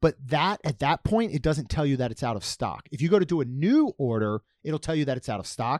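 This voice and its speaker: A man speaks at a fairly quick pace in a normal speaking voice, fairly high-pitched, with lively intonation and a dry, close sound with no echo on a very clean recording over a silent background. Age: 40s. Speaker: podcast host. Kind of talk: casual chat.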